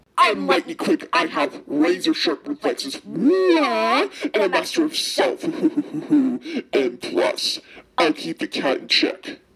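Speaking at a fairly slow pace, a man puts on a character voice with extremely high pitch. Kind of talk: fandub voice acting. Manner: excited, gushing.

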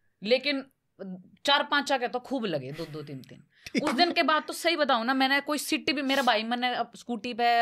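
Over light background noise, a woman speaks at a moderate pace with a high pitch and ordinary pitch variation. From Haryana. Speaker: actress, content creator. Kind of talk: casual podcast conversation, telling anecdote. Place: studio. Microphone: studio mic.

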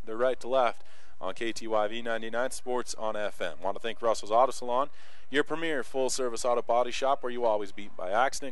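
The voice sounds animated and excited, in a dry recording with no echo. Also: man. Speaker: play-by-play sports announcer. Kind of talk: live sports commentary, play-by-play. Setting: press box at a soccer field. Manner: animated, fast-paced, excited.

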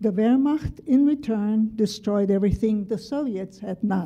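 Somewhat breathy, a woman speaks at a fairly slow pace with ordinary pitch variation over a quiet background. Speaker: memoir writer. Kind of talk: reading aloud. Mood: calm, measured, serious. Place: classroom. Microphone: podium.

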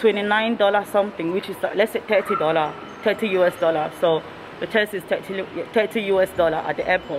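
A woman speaks at a moderate pace with fairly even intonation. Noticeable background noise is present. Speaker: travel vlogger. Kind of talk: casual vlog chat. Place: hall. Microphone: phone near.

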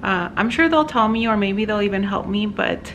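Moderate-paced speech from a woman, with noticeable background noise around it. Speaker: dog owner vlogger. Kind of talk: casual vlog chat. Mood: anxious, waiting for news. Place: home room. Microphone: phone near.

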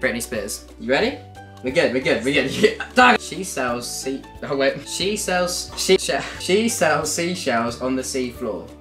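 This man talks in an excited tone at a fairly slow pace. Faint music plays in the background. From Britain. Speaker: YouTuber. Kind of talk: casual talk to camera, game banter. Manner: chatty, excited, jokey. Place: home room.

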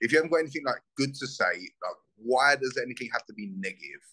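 A man with a South London accent, bright, sharp tone and ordinary pitch variation, in a quiet background. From Southeast London, England. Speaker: bare knuckle fighter; guest. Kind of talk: casual interview. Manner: animated. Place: home room. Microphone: video call.

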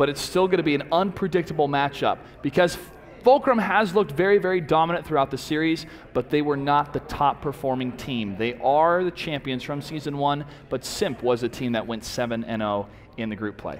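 Noticeable background noise sits behind a man speaking at a fairly quick pace. His fairly high voice has an animated tone and lively intonation. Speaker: esports caster. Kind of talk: live commentary. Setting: studio.

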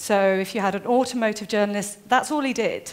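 Lively intonation colors the woman's speech. She keeps a moderate pace. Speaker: conference speaker. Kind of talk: lecture. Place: stage.

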